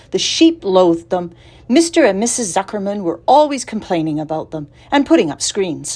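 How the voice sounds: The speaker uses a natural reading voice. It is heard throughout the clip.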